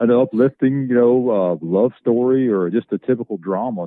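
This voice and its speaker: The speaker has a strong Southern accent. Pace is moderate, with ordinary pitch variation. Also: man. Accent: thick Southern. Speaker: actor. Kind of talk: casual chat. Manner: halting.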